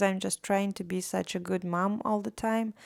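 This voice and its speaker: The recording is very clean, with a silent background. A woman talks with a Latvian accent. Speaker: artist vlogger. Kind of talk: casual vlog monologue. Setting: recorded at home late at night.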